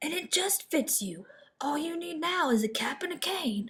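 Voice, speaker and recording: A high-pitched, put-on character voice speaks at a moderate pace. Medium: read story.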